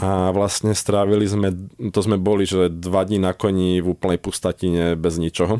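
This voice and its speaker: Very deep and low, a man's dark, mellow voice holds a monotone, flat intonation in a dry, close recording without echo. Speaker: horseback traveller. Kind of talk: radio interview. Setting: studio.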